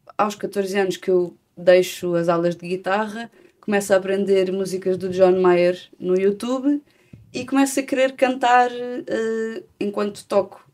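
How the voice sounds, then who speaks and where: A fairly slow delivery in a European Portuguese accent, with ordinary pitch variation. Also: woman. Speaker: singer-songwriter. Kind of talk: interview. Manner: halting.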